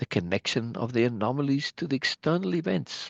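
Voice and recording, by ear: Lively intonation marks this reading aloud in a natural voice.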